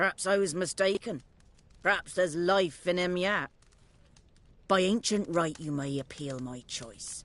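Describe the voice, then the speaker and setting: In a put-on character voice at a middle pitch, the speaker goes at a moderate pace. Long pauses come often. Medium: video game. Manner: scornful, archaic dialect.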